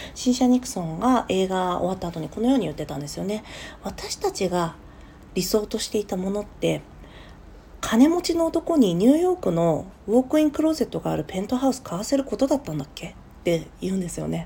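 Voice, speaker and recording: A woman's dark, mellow, somewhat breathy voice of medium pitch races at a very fast pace with very wide pitch swings. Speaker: podcast host. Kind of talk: solo talk. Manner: casual, many fillers.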